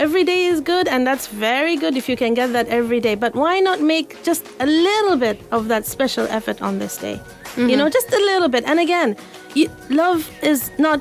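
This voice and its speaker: A high-pitched woman speaks at a fairly quick pace with lively intonation over music in the background. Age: young. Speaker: mental health counselor. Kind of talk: radio guest conversation.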